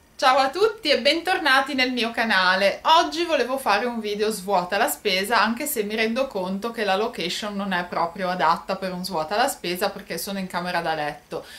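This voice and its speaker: With lively intonation, a woman talks at a fairly quick pace and hardly any pauses. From Italy, Genoa. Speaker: YouTuber. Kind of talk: product haul vlog. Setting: bedroom at home. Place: home room. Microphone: phone near.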